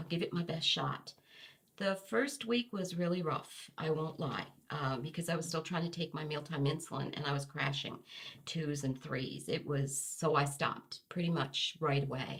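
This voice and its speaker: This woman has a very deep, low pitch. She speaks at a moderate pace with ordinary pitch variation. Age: 60s. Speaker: interviewee sharing health story. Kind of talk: testimony. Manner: hesitant, with fillers.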